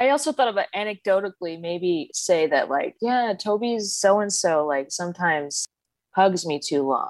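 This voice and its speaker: Speaking with an American accent, a woman uses an unremarkable speaking voice at medium pitch and a moderate pace, with lively intonation. The sound is dry and close with no echo. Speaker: caller seeking advice. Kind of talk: casual conversation, personal story. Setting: video call.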